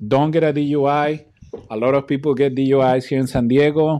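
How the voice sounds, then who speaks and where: A man with a Spanish accent speaks in a dark, mellow tone against a quiet background. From Mexico. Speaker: YouTuber. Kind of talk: casual vlog talk to camera. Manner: hesitant, many fillers and repeats.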